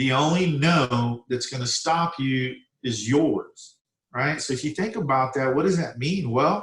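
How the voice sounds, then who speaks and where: The speaker talks at a fairly slow pace with ordinary pitch variation. The voice is somewhat breathy. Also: man, fairly high pitch for a man. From Mexico. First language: Spanish. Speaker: home builder. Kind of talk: career talk to students. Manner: halting.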